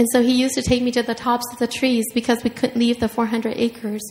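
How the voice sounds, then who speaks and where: Speaking with a Southeast Asian accent, a woman talks at a fairly quick pace in a high, monotone, flat voice. Noticeable background noise is present. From Minnesota, Hmong refugee family. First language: Hmong. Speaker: writer. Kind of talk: author talk and reading aloud. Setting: stage with audience.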